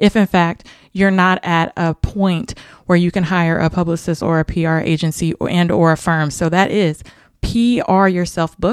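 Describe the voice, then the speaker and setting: Recorded very cleanly against a silent background, a woman speaks at a moderate pace and fairly low pitch with a dry, close sound and no echo. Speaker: podcast host and publicist. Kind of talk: casual interview chat. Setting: socially distanced in person, same room. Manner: energetic, upbeat, chatty.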